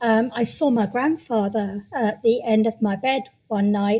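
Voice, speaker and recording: At a fairly slow pace, a woman talks with a British accent. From UK. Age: 60s. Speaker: sound healer. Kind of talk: interview. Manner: hesitant, many fillers.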